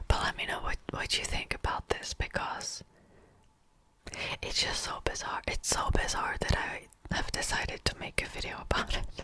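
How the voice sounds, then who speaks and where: Whispering at a moderate speed, a woman is heard over noticeable background noise. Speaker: ASMR youtuber. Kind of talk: casual commentary ramble. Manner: whispered.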